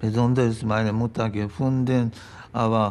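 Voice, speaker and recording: With a Japanese accent, the speaker goes at a very slow pace with fairly even intonation over light background noise. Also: man. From Japan, Hiroshima. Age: 80s+. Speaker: retired physical chemistry professor, Hiroshima survivor. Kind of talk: interview answer. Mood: grave, reflective. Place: home room.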